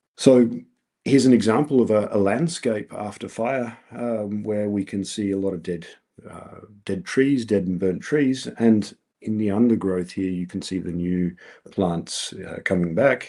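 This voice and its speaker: Speaking at a fairly slow pace, a man with a fairly low pitch and a dark, mellow tone uses ordinary pitch variation, and his loudness swings widely. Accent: Australian. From Australia. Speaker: researcher. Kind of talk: lecture. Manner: halting, many fillers.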